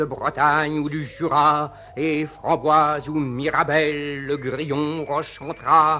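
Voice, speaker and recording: Very slowly, a man speaks in a fairly high, bright, sharp voice with monotone, flat intonation. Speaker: poet reading his own poem. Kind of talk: poetry reading. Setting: old archival recording, voice over music.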